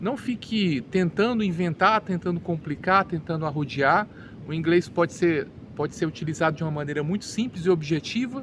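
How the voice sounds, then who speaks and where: A man speaks with a Brazilian accent. His voice is high and his pace moderate. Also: ordinary pitch variation. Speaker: English teacher. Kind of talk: educational monologue. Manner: halting, with repeated words.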